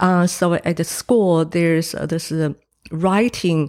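At a very slow pace, a woman with a Chinese accent speaks at a fairly low pitch, the recording very clean with a silent background and a dry, close sound with no echo. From Taiwan. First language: Mandarin Chinese. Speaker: painter, former film director. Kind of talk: interview. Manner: hesitant, many fillers.

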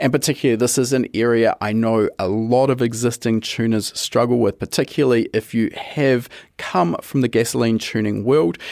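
In a very clean recording with a silent background, a man speaks at a fairly quick pace in a plain, everyday voice, with medium pitch, fairly even intonation, very even loudness, and a dry, close sound with no echo. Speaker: podcast host. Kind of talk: interview podcast.

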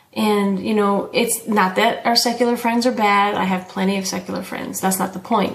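Audible room echo surrounds the voice. A woman speaks with fairly even intonation. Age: 40s. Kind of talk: casual faith conversation.

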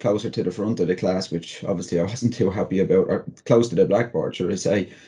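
A fairly quick man with a Dublin accent, a dark, mellow tone and ordinary pitch variation. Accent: Irish (Dublin). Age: 40s. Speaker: motivational speaker and comedian. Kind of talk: interview.

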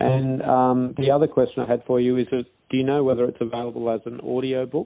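Speaking at a fairly quick pace with hardly any pauses, a man with an Australian accent holds a medium pitch in a monotone, flat intonation. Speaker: podcast host. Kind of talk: interview.

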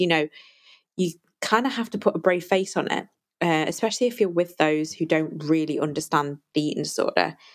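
At a fairly quick pace, a woman with an ordinary speaking voice talks at a fairly low pitch with ordinary pitch variation. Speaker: podcast host and eating disorder recovery coach. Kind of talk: solo podcast monologue. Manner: warm, conversational, grateful.

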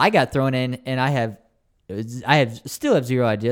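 An ordinary speaking voice from a man at medium pitch and moderate pace, very clean recording with a silent background. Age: 20s. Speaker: young adult pastor. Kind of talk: casual chat.

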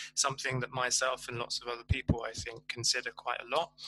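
A man with a medium pitch and a bright, sharp tone speaks quickly enough to be fairly fast, in a monotone, flat intonation.

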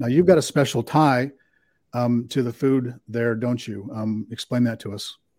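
In a very clean recording with a silent background, a man with a plain, everyday voice speaks at a moderate pace and medium pitch, with ordinary pitch variation and big swings in loudness. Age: 60s. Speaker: podcast host. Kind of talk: casual interview.

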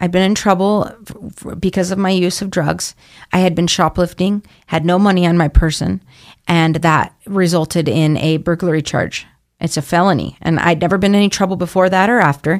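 A woman with an American accent talks at a fairly quick pace in a fairly low pitch. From Idaho, Boise. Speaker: addiction recovery program intake coordinator. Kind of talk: interview. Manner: animated.

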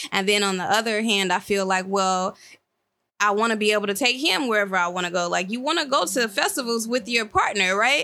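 A woman's medium-pitched voice, bright and sharp in tone, with very even loudness, ordinary pitch variation and a fairly quick pace, on a very clean recording with a silent background. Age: 30s. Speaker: former podcaster. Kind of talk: casual chat.

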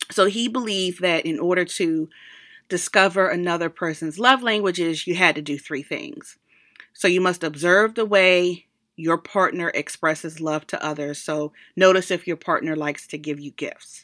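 On a very clean recording with a silent background, a woman with a fairly low voice speaks at a moderate pace, her pitch varying in an ordinary way. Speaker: podcast host. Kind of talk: solo monologue podcast. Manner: casual, chatty.

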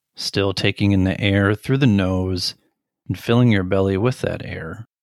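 A man with an unremarkable speaking voice talks at a moderate pace in a fairly low pitch, with ordinary pitch variation, on a very clean recording with a silent background. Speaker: meditation guide. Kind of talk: guided meditation. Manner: gentle, even, measured delivery.

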